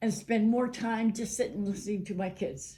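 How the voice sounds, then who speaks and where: A woman speaks at a fairly high pitch. Her tone is dark and mellow, somewhat breathy. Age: 80s+. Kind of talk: interview answer. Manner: casual, upbeat.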